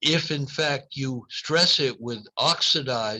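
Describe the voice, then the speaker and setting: This man's medium-pitched voice has a bright, sharp tone and ordinary pitch variation. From US Northeast, Boston. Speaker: neurology professor. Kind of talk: lecture Q&A.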